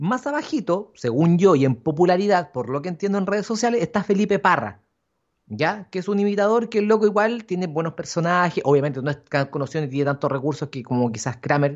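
A man speaks very fast in a high voice with a Chilean accent. His pitch swings very wide. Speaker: podcast co-host. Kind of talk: casual chat. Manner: animated.

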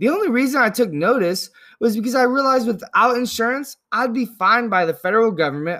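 On a very clean recording with a silent background, a man with an American accent talks at a fairly quick pace, his high pitch swinging very widely. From Northern California, US. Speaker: political podcast host. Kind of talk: solo podcast monologue.

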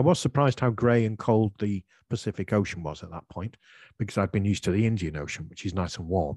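A man with a British accent, fairly low pitch and ordinary pitch variation, at a very fast pace against a quiet background. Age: 60s. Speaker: English teacher and podcaster. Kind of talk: interview, answering questions.

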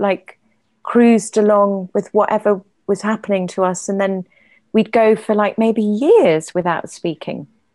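A woman in an English accent, fairly even in intonation, with a quiet background. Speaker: playwright and poet. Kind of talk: casual chat. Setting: video call.

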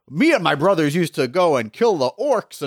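A put-on character voice with very wide pitch swings and a dry, close sound with no echo. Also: man, high pitch for a man, fairly quick pace. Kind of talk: casual, chatty.

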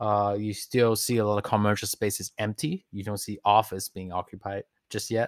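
Recorded very cleanly against a silent background, a man with a Mandarin accent speaks at medium pitch and a moderate pace. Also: dry, close sound with no echo. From New York with childhood in Taiwan. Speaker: music producer. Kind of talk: casual interview.

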